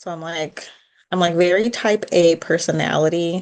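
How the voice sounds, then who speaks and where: In a quiet background, a woman with an American accent speaks in a fairly low pitch. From US Midwest, Chicago suburbs. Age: 30s. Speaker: podcast co-host. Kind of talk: casual chat.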